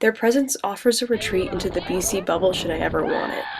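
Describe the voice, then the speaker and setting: Shouting in an American accent, a woman speaks at a very fast pace. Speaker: study-abroad student. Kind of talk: casual vlog to camera.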